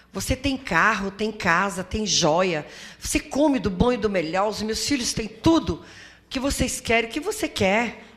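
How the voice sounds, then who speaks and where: A woman speaks at a fairly high pitch. Room echo is audible around her. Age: 60s. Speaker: community association leader, domestic violence survivor. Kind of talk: testimony at a seminar. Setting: auditorium with audience.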